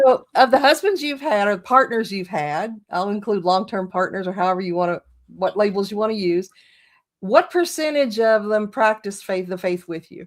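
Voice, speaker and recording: A woman with a plain, everyday voice speaks at medium pitch and a moderate pace, her intonation lively. Her loudness swings widely on a very clean recording with a silent background. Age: 60s. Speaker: witchcraft channel host. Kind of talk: interview. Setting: in person, same room.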